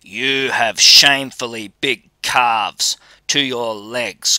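Speaking at a very slow pace, a man uses a put-on character voice. His pitch sits at a medium level. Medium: read story. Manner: menacing, then wheedling.

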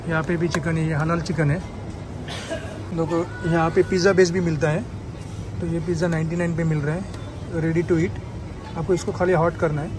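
Over music in the background, a man with a high pitch speaks in a monotone, flat intonation at a moderate pace with long, frequent pauses, in a dry sound with no echo. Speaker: vlogger. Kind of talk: casual vlog chat. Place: shop. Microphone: phone near.

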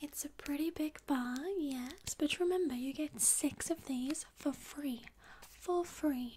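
Light background noise sits behind a woman speaking very slowly. Her high voice has a dark, mellow tone and ordinary pitch variation. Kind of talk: soft role-play shop chat.

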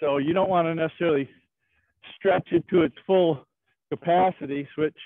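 A man's voice with fairly even intonation, dry with no echo, against a quiet background. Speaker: karate instructor. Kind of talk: class instruction. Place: open country.

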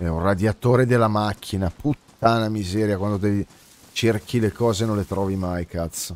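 Heard in a dry sound with no echo, a man with a normal speaking voice speaks at a moderate pace, fairly low in pitch, with fairly even intonation. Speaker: game streamer. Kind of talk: casual stream commentary and chat replies. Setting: live stream, gaming. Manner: chatty, informal, swears often. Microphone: studio mic.

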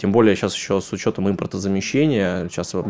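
A plain, everyday voice from a man, fairly low in pitch. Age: 30s. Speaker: politician. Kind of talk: interview. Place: studio. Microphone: studio mic.

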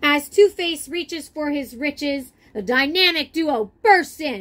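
A woman speaks at a slow pace with high pitch and lively intonation. Her tone is fairly bright.

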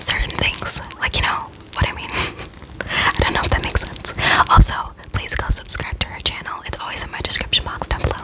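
A soft-spoken woman talks at a fairly quick pace. Loud background noise fills the recording. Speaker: ASMR content creator. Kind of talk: casual vlog chat. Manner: soft, close-mic ASMR speaking. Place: home room. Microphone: studio mic.

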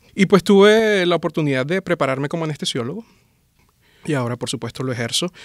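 Over a quiet background with a dry sound and no echo, a man speaks at a very fast pace with a fairly high pitch and lively intonation. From Venezuela, Maracaibo; Venezuela. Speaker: anesthesiologist; guest. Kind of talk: interview conversation. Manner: hesitant, with fillers and repetitions. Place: studio. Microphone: studio mic.

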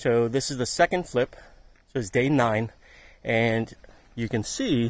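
The man's voice comes across dry, without any echo. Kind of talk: casual vlog chat. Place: garden. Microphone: phone near.

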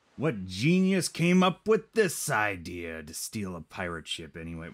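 A man puts on a character voice pitched fairly low. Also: moderate pace. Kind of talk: casual gaming commentary, reading game dialogue. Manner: comic, gruff.

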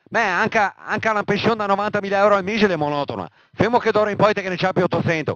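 An angry man with a Venetian accent talks in a high pitch with ordinary variation, the sound dry and close with no echo. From Veneto, Italy. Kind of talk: casual political rant. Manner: angry, heavily profane.

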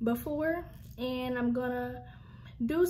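Loud background noise runs through the clip. A woman is speaking. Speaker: vlogger. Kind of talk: casual vlog chat. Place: home room. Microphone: phone near.

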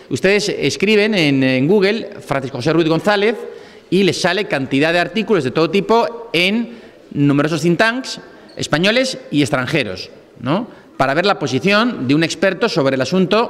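High-pitched and lively in intonation, a man talks at a moderate pace. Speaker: guest. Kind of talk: speaker introduction. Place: hall. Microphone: podium.

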